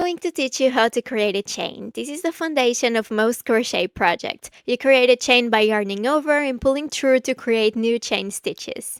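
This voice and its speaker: High-pitched, a woman with a non-native accent talks at a moderate pace, with hardly any pauses and ordinary pitch variation. The sound is dry and close, with no echo. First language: not English. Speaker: crochet tutorial creator. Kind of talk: tutorial.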